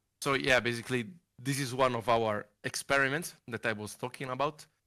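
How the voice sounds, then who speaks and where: Over a quiet background, a man speaks with an Italian accent. His tone is bright and sharp, with fairly even intonation. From Italy, Monza. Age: 20s. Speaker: sim racing wheel maker. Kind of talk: interview. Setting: video call. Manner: halting. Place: home room. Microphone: headset.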